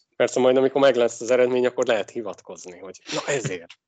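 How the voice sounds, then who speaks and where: A man talks at a fairly quick pace. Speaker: ice hockey podcast co-host. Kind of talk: casual sports chat.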